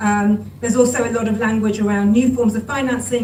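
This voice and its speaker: The intonation is monotone and flat. Room echo is audible, along with noticeable background noise. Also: woman. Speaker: climate policy expert. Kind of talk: panel discussion. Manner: fast.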